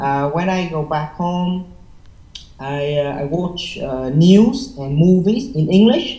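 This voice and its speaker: The speech comes at a very slow pace in a Vietnamese accent. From Vietnam, Hanoi. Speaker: IELTS test taker. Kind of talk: interview. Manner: halting, many fillers.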